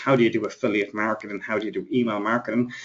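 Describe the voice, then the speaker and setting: A man speaks at a medium pitch with an Irish accent. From Ireland. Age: 30s. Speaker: internet marketing trainer. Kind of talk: webinar presentation. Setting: live webinar. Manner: fast.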